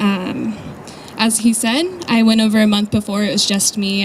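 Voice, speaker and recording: A soft-spoken woman talks at a moderate pace with a medium pitch and fairly even intonation. Noticeable background noise runs underneath. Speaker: charity volunteer. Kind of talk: presentation to an audience. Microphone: too quiet, told to hold mic closer.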